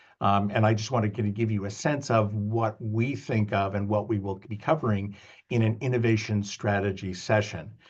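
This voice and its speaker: In a Canadian accent, the speaker moves at a moderate pace with fairly even intonation. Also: man, fairly low pitch for a man. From Canada. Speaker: business school professor. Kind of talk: lecture. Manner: halting, many fillers.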